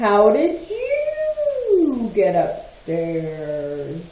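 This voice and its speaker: A put-on character voice, female-sounding and fairly high in pitch, comes through with a slight echo. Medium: read story.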